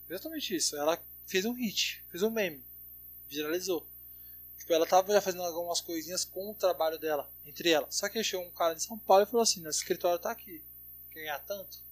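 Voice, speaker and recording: Speaking at a very fast pace with long, frequent pauses, a man's high-pitched voice shows big swings in loudness and ordinary pitch variation, recorded dry and close with no echo against a quiet background. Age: 20s. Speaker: DJ. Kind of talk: casual chat.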